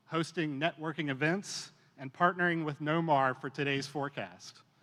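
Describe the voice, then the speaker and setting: Loud and bright with a sharp tone, a man speaks at a fairly high pitch with ordinary pitch variation against a quiet background. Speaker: commercial real estate association board officer. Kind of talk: formal remarks at an event. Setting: stage with audience. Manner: loud, projecting.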